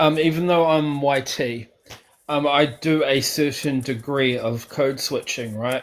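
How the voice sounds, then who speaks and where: A man with a New Zealand accent, fairly high in pitch, at a fairly slow pace with fairly even intonation. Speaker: caller. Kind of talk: casual chat.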